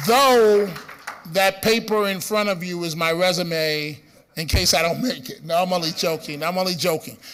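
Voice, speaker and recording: A Bronx accent comes through at a moderate pace with ordinary pitch variation. Audible room echo and noticeable background noise surround the voice. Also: man, high pitch for a man. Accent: Bronx New York. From New York City, the Bronx. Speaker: radio host. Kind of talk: conference speech. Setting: stage with audience.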